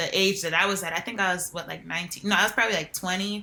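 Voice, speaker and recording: A woman with a New Jersey accent speaks in a bright, sharp tone. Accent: New Jersey American. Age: 20s. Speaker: reality TV contestant. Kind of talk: interview. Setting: podcast.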